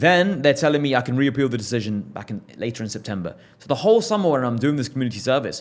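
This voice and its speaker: This man talks very fast and in an animated tone, with hardly any pauses. His voice sits at a medium pitch, with an English accent. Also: big swings in loudness. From England. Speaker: entrepreneur. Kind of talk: podcast interview.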